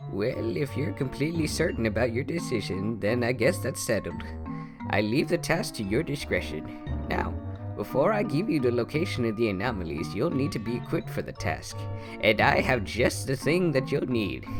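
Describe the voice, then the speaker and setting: Loud music plays in the background. Over it comes a put-on character voice at a moderate pace. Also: man. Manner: folksy, jovial.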